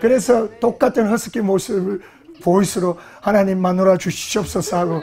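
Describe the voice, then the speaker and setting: At a moderate pace, a man speaks with a high pitch over noticeable background noise. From South Korea, Gyeongsang region. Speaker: pastor. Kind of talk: sermon.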